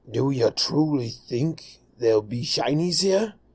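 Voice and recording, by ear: Putting on a character voice, a man speaks at a fairly slow pace with a fairly high pitch.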